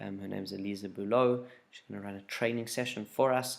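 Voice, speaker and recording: A soft-spoken man, fairly low in pitch, at a moderate pace. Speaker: youth group leader. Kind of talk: casual video update. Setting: at home, late at night.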